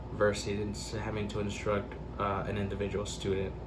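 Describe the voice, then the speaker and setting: Somewhat breathy and fairly low, a man's voice moves at a fairly slow pace with audible room echo. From Central Texas. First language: Spanish. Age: 20s. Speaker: interviewee. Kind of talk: interview. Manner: hesitant, many fillers.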